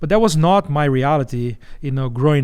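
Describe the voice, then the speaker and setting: A man with a strong Brazilian accent speaks at a fairly high pitch. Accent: heavy Brazilian Portuguese. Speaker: missions organization executive. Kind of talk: interview.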